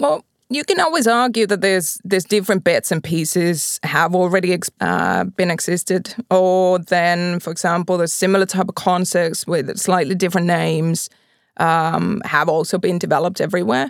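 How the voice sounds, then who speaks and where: A woman's fairly low voice in a Finnish accent, at a moderate pace with ordinary pitch variation, recorded very cleanly against a silent background with a dry, close sound and no echo. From Finland, Pori. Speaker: mobility company executive. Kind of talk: interview. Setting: studio.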